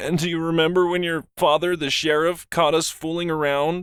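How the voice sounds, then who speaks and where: Putting on a character voice, a man speaks in a high pitch with a monotone, flat delivery at a moderate pace. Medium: read story. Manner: melancholy.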